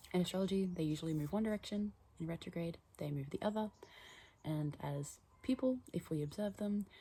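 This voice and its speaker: Fairly low and somewhat breathy, a woman's voice has a dark, mellow tone and ordinary pitch variation. She talks at a fairly quick pace. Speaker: astrology and tarot content creator. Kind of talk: casual monologue vlog. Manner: whispering, soft; hesitant, many fillers.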